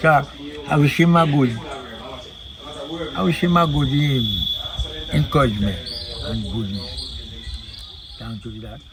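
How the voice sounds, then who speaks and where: A man talks at a fairly slow pace, with long, frequent pauses and big swings in loudness. Audible room echo and noticeable background noise fill the recording. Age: 90s. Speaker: village elder. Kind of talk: interview. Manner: halting.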